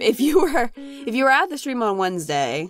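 A woman's pitch swings very widely as she talks at a moderate speed, with music playing behind her. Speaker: gaming youtuber. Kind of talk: let's play commentary. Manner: casual, chatty.

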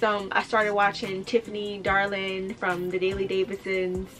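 A woman speaks at a moderate pace in a flat, monotone way, with music clearly audible behind her. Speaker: lifestyle vlogger. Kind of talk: casual story-time vlog chat.

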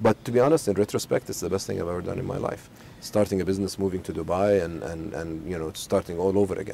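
Over light background noise, the voice moves at a very fast pace with ordinary pitch variation in a dry recording with no echo. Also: man, very deep, low pitch for a man. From Saudi Arabia, Al Khobar; Saudi Arabia. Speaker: business executive. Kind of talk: interview. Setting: outdoors in a home garden. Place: garden. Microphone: lapel.

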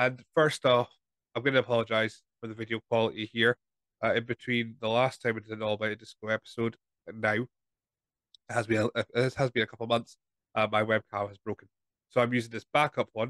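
In a dry sound with no echo and a quiet background, a man talks at a fairly quick pace with monotone, flat intonation. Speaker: wrestling podcast host. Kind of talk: casual podcast preview talk. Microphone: studio mic.

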